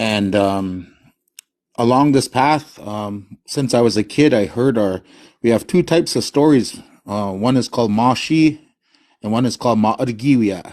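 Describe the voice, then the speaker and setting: Here a man speaks at a medium pitch and moderate pace. His pitch variation is ordinary, and the background is quiet. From US Midwest, North Dakota reservation. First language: Hidatsa. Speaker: caller on live stream. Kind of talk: casual chat.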